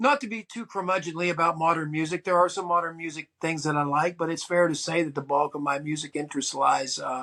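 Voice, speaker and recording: A man with an American accent talks at a very fast pace with hardly any pauses. His intonation stays fairly even. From US, West Virginia, Eastern Panhandle (Keyser). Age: 60s. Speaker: podcast host, record collector and musician. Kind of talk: casual monologue. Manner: relaxed, hesitant with many fillers.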